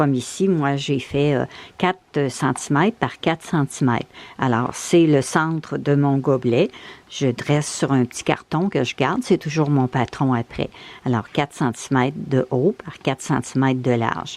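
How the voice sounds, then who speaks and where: Speaking at a fairly slow pace, a woman has a very deep, low pitch. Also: ordinary pitch variation. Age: 70s. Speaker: bird feeder crafter. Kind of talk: DIY tutorial talk. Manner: casual, explanatory.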